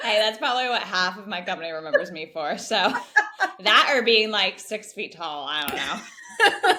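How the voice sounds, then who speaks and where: Against noticeable background noise, a woman with an American accent speaks at a fairly high pitch, her loudness swinging widely. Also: lively intonation, moderate pace. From Northern California, US. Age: 20s. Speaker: podcast guest, early-career professional and mentor. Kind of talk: casual interview chat.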